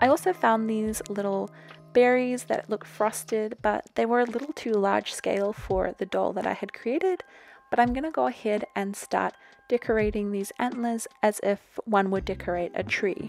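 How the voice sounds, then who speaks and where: Noticeable background noise beneath speech with normal pitch movement. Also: woman, fairly high pitch for a woman, moderate pace. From New Zealand. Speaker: crafter, doll customizer. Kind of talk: voiceover narration of craft tutorial.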